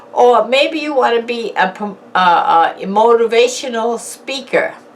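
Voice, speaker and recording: Over noticeable background noise, a high-pitched woman speaks at a fairly slow pace with lively intonation. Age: 60s. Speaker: YouTuber. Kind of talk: motivational talk. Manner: casual.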